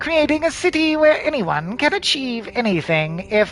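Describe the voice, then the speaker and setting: A put-on, nasal character voice with very wide pitch swings and a moderate pace, over light background noise. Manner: proud, puffed up.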